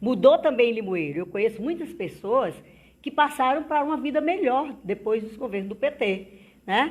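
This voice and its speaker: On a very clean recording with a silent background, a woman with a high pitch makes very wide pitch swings. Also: moderate pace. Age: 60s. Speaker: politician. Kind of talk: interview.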